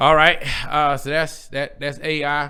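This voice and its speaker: A man speaks at a moderate pace in a bright, sharp, animated tone. There is audible room echo. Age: 40s. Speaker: pastor hosting a podcast. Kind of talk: casual podcast chat. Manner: animated, conversational.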